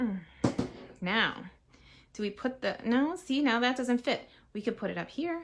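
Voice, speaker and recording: With a Massachusetts accent, a woman speaks in a high pitch at a moderate pace with lively intonation and long, frequent pauses, on a very clean recording with a silent background. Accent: non-rhotic Massachusetts. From Massachusetts, US. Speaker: crafting demonstrator. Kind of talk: live crafting tutorial. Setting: live stream.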